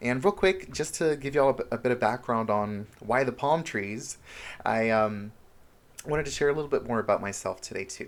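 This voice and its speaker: Fairly quick delivery with lively intonation. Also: man, medium pitch for a man. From Honduras, moved to US at age seven. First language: Spanish. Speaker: self-help vlogger. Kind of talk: casual vlog monologue. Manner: animated, expressive.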